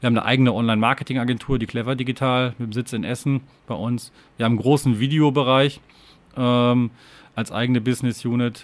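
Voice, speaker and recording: Monotone, flat intonation from a man at medium pitch and a very fast pace. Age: 30s. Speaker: company executive. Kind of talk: interview. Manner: halting, many fillers.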